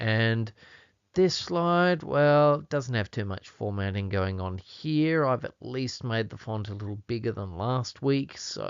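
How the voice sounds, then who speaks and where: A man speaks with an Australian accent. His voice sits at medium pitch with lively intonation. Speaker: Bible language teacher. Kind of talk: tutorial. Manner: casual, chatty.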